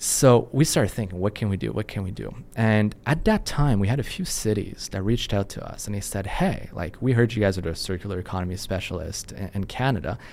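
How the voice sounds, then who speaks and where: Speech moves at a fairly quick pace with ordinary pitch variation and hardly any pauses, on a very clean recording with a silent background. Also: man, fairly low pitch for a man. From Quebec, French Canadian. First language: French. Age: 30s. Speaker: company CEO. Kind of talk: podcast interview.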